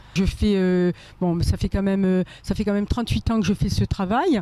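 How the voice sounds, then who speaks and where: Her voice has a dark, mellow tone and a medium pitch. The woman talks at a fairly quick pace with ordinary pitch variation. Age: 60s. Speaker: pizza seller. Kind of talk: street interview. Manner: halting.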